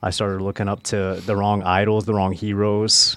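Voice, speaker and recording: A man with an American accent speaks at a very deep, low pitch. His intonation is monotone and flat, at a moderate pace. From US Midwest, Nebraska. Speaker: former prisoner sharing testimony. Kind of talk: testimony.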